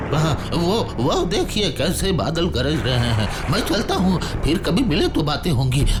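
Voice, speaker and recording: Loud background noise surrounds a man doing a put-on character voice. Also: moderate pace. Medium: audio drama. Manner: hesitant, evasive.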